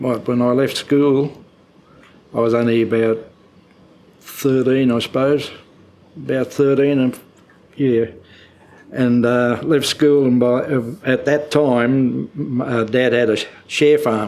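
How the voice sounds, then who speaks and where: At a very slow pace, a man of medium pitch talks in a rural Australian accent, monotone and flat, with long, frequent pauses. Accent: broad rural Australian. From Queensland, Australia (Mary Valley near Gympie). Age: 80s+. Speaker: elderly local resident sharing memories. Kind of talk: oral history interview. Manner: halting, with many fillers.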